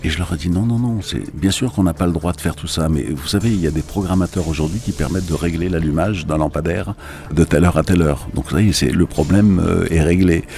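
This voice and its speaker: Music in the background behind a man's very deep, low voice, fairly quick in pace, with ordinary pitch variation. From Algeria. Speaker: cultural institute director. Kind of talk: radio interview.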